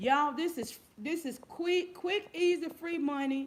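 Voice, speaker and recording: A loud woman at a fairly slow pace. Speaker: YouTube giveaway host. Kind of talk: casual livestream chat. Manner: repetitive.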